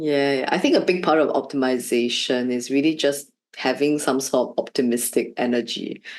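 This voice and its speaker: In a Shanghai accent, a woman talks at a moderate pace with a very deep, low pitch. Her intonation is fairly even and her loudness very even. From Shanghai, China. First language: Shanghainese. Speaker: learning designer, former art teacher. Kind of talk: interview. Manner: hesitant, many fillers.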